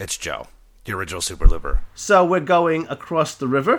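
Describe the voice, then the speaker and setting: Someone talks at a moderate pace with music in the background. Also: man. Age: 30s. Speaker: podcast co-host. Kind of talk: casual chat. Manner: animated.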